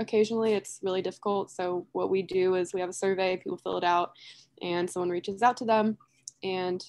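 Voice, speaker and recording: The background is quiet as a woman speaks at a fairly quick pace. Her intonation is monotone and flat. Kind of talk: casual webinar presentation. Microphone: video call.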